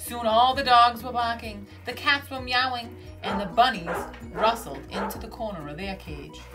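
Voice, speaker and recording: With music in the background, a woman with an American accent talks at a moderate pace, showing big swings in loudness. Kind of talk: children's book read-aloud.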